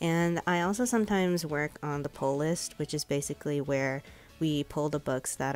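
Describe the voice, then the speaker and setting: A woman with an American accent and a very deep, low pitch, at a moderate pace with ordinary pitch variation, music playing in the background. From Chicago suburbs, USA. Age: 20s. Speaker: publishing intern and library worker. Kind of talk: casual vlog voiceover.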